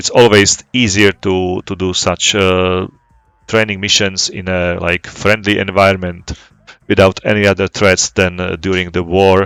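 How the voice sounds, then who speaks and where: At a fairly slow pace, a man speaks with a very deep, low pitch and monotone, flat intonation. The sound is dry and close, with no echo. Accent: non-native. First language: not English. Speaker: flight sim gaming YouTuber. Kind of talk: casual gameplay commentary. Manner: halting, many fillers and repetitions.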